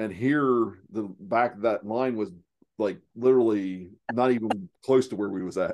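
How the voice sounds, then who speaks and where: A man speaks at a moderate pace with an Appalachian accent. His pitch is medium, with ordinary variation. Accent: Southeast Ohio Appalachian, noticeable. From Southeast Ohio. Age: 40s. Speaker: lean manufacturing consultant. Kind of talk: casual interview chat. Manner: halting, filler-heavy.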